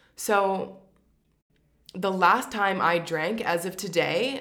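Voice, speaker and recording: A woman with a Canadian accent, with audible room echo around her voice. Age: 30s. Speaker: podcast host. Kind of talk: personal monologue.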